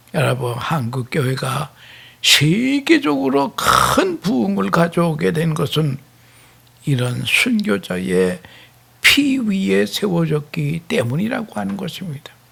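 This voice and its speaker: A man with a fairly high pitch talks at a very slow pace, his voice swinging very widely in pitch against noticeable background noise. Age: 80s+. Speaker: retired pastor. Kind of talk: sermon.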